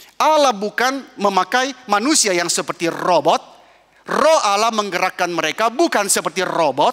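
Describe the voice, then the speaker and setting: A man with a high pitch speaks in a raised, projected voice at a moderate pace, his intonation lively. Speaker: pastor. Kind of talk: sermon.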